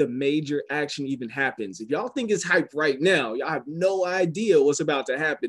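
With an American accent, a man speaks at a moderate pace with ordinary pitch variation. The background is quiet. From US South. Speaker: business opportunity presenter. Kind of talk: sales pitch. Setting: phone call. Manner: animated. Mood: smiling, enthusiastic. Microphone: video call.

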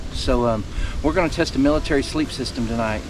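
Against noticeable background noise, a man talks at a very fast pace in a dry sound with no echo. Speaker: outdoor vlogger. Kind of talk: casual vlog chat. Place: open country. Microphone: camera far.

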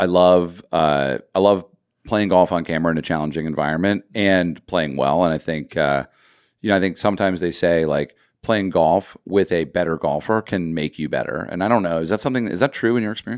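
Over a quiet background, a man with a very deep, low pitch talks at a fairly quick pace with ordinary pitch variation. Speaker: podcast host. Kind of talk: casual chat. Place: studio. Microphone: studio mic.

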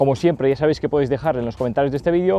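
With music playing behind him, a man speaks very fast with ordinary pitch variation in a dry sound that has no echo. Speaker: fishing channel host. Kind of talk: Q&A vlog answers. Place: waterside. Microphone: lapel.

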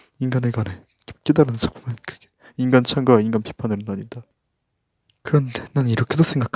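A man speaks at a medium pitch, somewhat breathy, in a dry, close sound with no echo. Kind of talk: ASMR reading of a book report.

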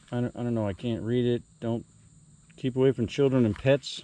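A man's dark, mellow voice at a medium pitch

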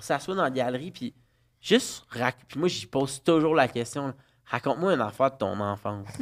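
A man's voice with lively intonation at a fairly quick pace. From Quebec, Laval; Quebec. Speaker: parent guest; guest. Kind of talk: casual chat. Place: studio. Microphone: studio mic.

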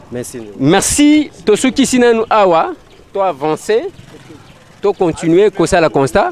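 Over noticeable background noise, a high-pitched man speaks at a moderate pace with very wide pitch swings. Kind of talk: commentary to camera. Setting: outdoors.

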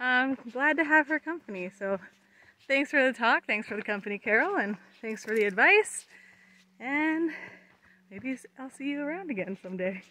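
Using a raised, projected voice, a woman speaks at a moderate pace with very wide pitch swings. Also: dry sound with no echo. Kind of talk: casual vlog chat. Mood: cheerful, grateful. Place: forest. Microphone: phone near.

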